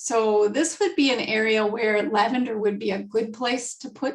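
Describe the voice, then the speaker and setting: Somewhat breathy, a fairly high-pitched woman talks at a fairly slow pace with ordinary pitch variation. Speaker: essential oils class presenter. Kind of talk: online class presentation.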